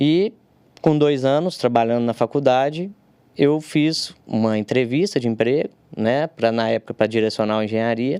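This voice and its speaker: A man's dark, mellow voice at a moderate pace with ordinary pitch variation, in a dry, close sound with no echo and a very clean recording with a silent background. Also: medium pitch for a man. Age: 30s. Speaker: civil engineer, technical consultant. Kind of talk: podcast interview. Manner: halting, many fillers.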